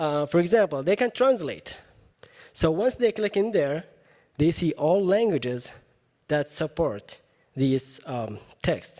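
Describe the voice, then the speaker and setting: A man with an Arabic accent speaks at a fairly high pitch in a dark, mellow tone. His pitch swings very widely, and he talks at a fairly slow pace with long, frequent pauses. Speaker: university educator presenting at a teaching event. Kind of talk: presentation with software demo. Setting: live event with audience. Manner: casual, with many fillers.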